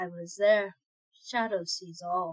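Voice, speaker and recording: A woman's soft-spoken, medium-pitched, put-on character voice. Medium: read story. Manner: quiet, chilling, speaks of himself by name.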